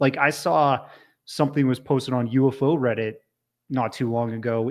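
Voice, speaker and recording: In a Canadian accent, a man speaks at a medium pitch and a fairly slow pace with fairly even intonation, a normal speaking voice in a very clean recording with a silent background. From Canada. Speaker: podcast host. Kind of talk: casual chat.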